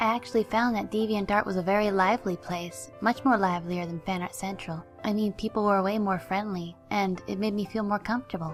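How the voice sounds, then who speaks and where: With music in the background, a woman at a medium pitch talks at a fairly quick pace with hardly any pauses and ordinary pitch variation. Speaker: artist. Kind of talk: personal life story narration. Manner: volume keeps shifting louder and quieter.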